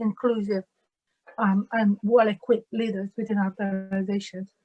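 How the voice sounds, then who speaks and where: Over music in the background, a woman with a strong Italian accent speaks at a fairly high pitch and a moderate pace with fairly even intonation, in a dry, close sound with no echo. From Italy. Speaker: diversity and inclusion manager. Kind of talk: webinar panel talk. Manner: halting.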